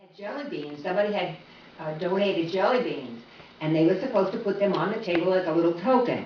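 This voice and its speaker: A woman's lively intonation and very fast delivery come through despite noticeable background noise. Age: 80s+. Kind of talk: personal testimony.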